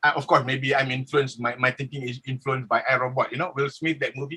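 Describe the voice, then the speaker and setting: A man speaks very fast in a raised, projected voice with a bright, sharp tone. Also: dry, close sound with no echo. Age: 60s. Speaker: professor. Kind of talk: panel discussion. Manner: halting.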